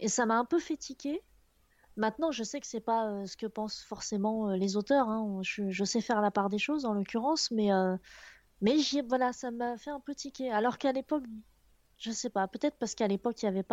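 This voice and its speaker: A plain, everyday voice from a woman, fairly high in pitch and fairly quick, with a dry, close sound, no echo and a quiet background. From Picardy, northern France. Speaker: video and motion designer. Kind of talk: casual chat.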